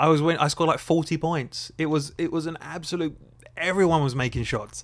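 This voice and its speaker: A man's fairly high-pitched voice with an Essex accent. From England, Essex. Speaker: podcast co-host. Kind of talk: casual chat. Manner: animated.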